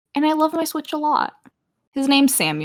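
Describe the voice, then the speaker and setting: A woman talks at a fairly slow pace. The sound is dry and close with no echo. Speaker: podcast co-host. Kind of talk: casual chat. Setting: voice call.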